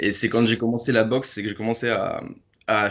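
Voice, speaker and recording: A man talking at a fairly quick pace. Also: quiet background. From Paris, France. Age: 20s. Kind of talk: podcast interview.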